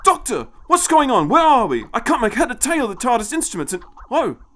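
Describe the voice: This put-on character voice has a fairly bright tone, big pitch swings and a fairly quick pace. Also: man, extremely high pitch for a man.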